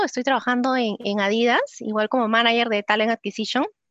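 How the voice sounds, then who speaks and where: A woman speaks at a high pitch. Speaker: psychologist and recruiter. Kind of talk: webinar talk.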